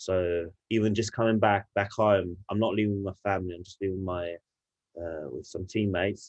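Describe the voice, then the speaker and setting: Speaking with an English accent, a man holds a fairly low pitch in a monotone, flat intonation. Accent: English-sounding. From Italy, Turin. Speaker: rugby player. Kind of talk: podcast interview. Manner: halting, many fillers.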